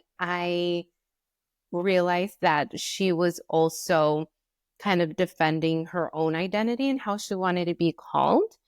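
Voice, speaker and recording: With a Spanish accent, a woman speaks at a fairly slow pace, her pitch fairly low with ordinary variation. The recording is very clean with a silent background, and the sound is dry and close with no echo. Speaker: podcast co-host. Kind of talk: casual chat.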